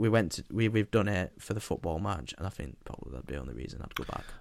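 With a Yorkshire accent, a man speaks at a fairly low pitch with vocal fry. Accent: northern English (Yorkshire). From England. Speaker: podcast co-host. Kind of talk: casual chat.

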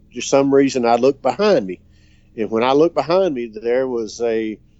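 Using a plain, everyday voice, a man speaks at a moderate pace. His medium pitch shows ordinary variation. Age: 50s. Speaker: caller. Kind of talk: recorded voicemail story.

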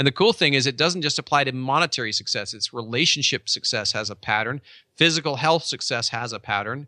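A man's bright, sharp, animated and passionate voice at medium pitch, very fast, with ordinary pitch variation, a dry, close sound with no echo and a quiet background. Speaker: real estate company owner and author. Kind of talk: casual interview chat. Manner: animated, passionate, energetic.

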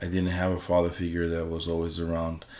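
There is audible room echo around this man's voice. His delivery is monotone and flat, set at a very deep, low pitch. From Hawaii, Maui (Lahaina). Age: 30s. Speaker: police officer and wedding musician. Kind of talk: casual chat. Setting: home office.

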